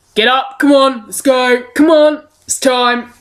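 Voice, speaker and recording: A female-sounding voice puts on a gruff character voice, high in pitch, at a fairly slow pace. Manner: urgent, commanding.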